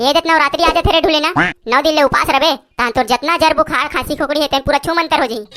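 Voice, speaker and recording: A woman talks at a very fast pace in a cartoonish character voice. Music plays in the background. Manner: teasing, bantering.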